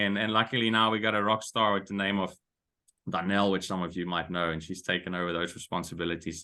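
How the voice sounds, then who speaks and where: A man is speaking. He has a Dutch accent. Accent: Dutch accent, picked up in South Africa. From Netherlands. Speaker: golf coach and business consultant. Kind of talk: webinar presentation. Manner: hesitant, with frequent fillers and repeats.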